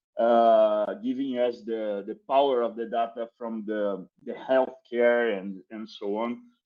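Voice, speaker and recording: A man speaks with a Brazilian accent. His voice is dark and mellow, at medium pitch. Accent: non-native English, Brazilian. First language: Portuguese. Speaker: crypto marketing executive. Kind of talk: podcast interview. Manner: halting, many repetitions and fillers.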